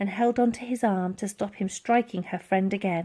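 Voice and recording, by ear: At a moderate pace, a woman speaks at a medium pitch in a dark, mellow tone with ordinary pitch variation.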